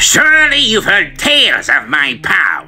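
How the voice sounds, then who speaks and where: Amid clear background noise, a man puts on a character voice and speaks at a fairly slow pace. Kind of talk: villain monologue.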